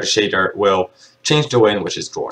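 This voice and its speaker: Somewhat breathy, the voice rises and falls with ordinary pitch variation. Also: man. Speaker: game development tutorial creator. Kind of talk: screen-recorded programming tutorial. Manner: casual, hesitant with fillers.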